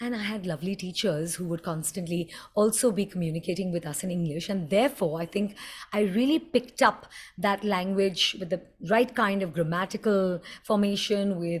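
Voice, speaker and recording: A somewhat breathy woman's voice at a fairly quick pace, on a very clean recording with a silent background. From India, Mumbai. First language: Hindi. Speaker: communication coach. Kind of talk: tutorial. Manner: animated.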